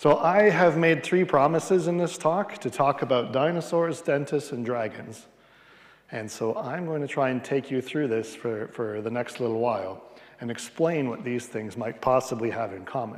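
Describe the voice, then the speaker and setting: With a Canadian accent, a man talks at a medium pitch with lively intonation against noticeable background noise. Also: moderate pace. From Western Canada, Edmonton, Alberta. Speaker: palaeontologist. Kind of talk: public lecture. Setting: lecture hall with audience, livestreamed.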